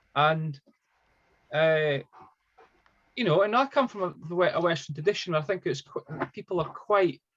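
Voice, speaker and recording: Long, frequent pauses break up speech delivered at a moderate pace. The speaker has a Scottish accent and ordinary pitch variation. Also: man, high pitch for a man. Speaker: psychotherapist. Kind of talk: interview via interpreter. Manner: halting, many repetitions.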